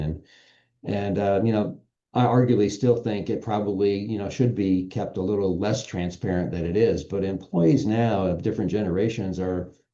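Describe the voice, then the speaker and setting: A man's dark, mellow tone at a fairly low pitch, with ordinary pitch variation and a quiet background. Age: 60s. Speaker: business association executive. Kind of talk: podcast interview.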